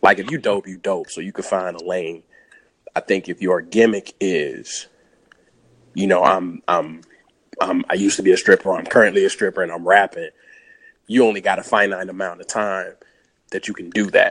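A moderate pace broken by long, frequent pauses, with big swings in loudness and a dry, close sound with no echo. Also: man. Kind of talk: casual group chat.

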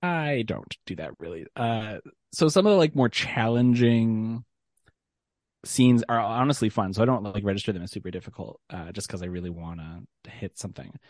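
In a dry, close sound with no echo and a quiet background, a man with an ordinary speaking voice talks at a moderate pace and medium pitch, his intonation lively. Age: 30s. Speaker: podcast guest. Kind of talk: casual chat.

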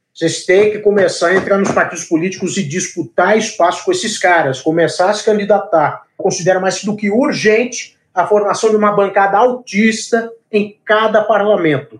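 Moving at a moderate pace, a man speaks at a high pitch with ordinary pitch variation. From Brazil, São Paulo. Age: 20s. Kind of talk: interview.

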